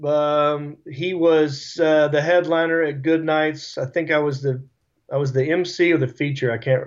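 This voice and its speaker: In a Southern US accent, a man with a fairly high pitch talks at a fairly slow pace in a monotone, flat intonation. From US South. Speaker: stand-up comedian. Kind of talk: casual interview.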